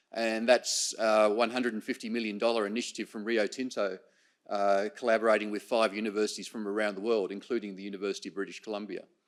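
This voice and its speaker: In an Australian accent, a man talks at a very fast pace with a fairly low pitch. His intonation is monotone and flat, and the recording is very clean with a silent background. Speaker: professor. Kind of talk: conference presentation. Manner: halting, many fillers and repetitions.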